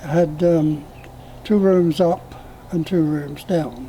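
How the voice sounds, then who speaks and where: Noticeable background noise behind a man's high voice at a very slow pace. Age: 90s. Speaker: elderly storyteller. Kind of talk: oral history interview.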